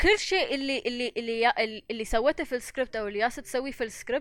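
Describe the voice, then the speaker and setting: In an Emirati accent, a woman talks at a fairly quick pace in a high pitch on a very clean recording with a silent background. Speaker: animation director. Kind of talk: casual chat. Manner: mixes English words into Arabic.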